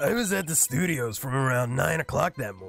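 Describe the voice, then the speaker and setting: A man's put-on character voice, raspy and medium-pitched, with very wide pitch swings, a fairly quick pace and faint music in the background. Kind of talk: comic overacting. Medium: virtual streamer. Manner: gruff, blustering.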